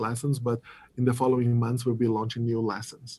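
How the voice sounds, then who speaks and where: A dark, mellow, somewhat breathy tone with a Portuguese accent. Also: man. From Brazil. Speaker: app product lead. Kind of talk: interview.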